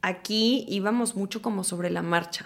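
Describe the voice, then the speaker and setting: A woman's ordinary speaking voice, medium in pitch, with fairly even intonation. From Houston, Texas (born Mexico City). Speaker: actress and TV presenter. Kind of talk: casual interview chat.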